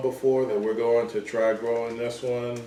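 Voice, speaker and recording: A man speaks at medium pitch and a moderate pace with an American accent. The recording carries noticeable background noise and audible room echo. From US South, Georgia. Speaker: home gardener, channel host. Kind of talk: casual chat. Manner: hesitant, lots of fillers.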